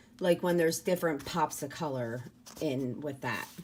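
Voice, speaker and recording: A woman's voice with very wide pitch swings. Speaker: planner hobbyist, YouTuber. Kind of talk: casual unboxing talk to camera.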